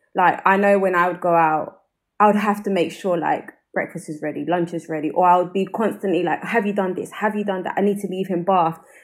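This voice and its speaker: A woman with a South London accent at a medium pitch, fairly quick in pace, with fairly even intonation. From South London, England. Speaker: podcast host. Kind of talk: casual chat.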